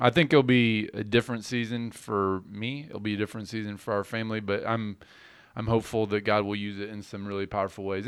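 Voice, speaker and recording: At a fairly quick pace, a man with an ordinary speaking voice and medium pitch talks in a very clean recording with a silent background. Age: 40s. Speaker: pastor. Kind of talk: casual chat.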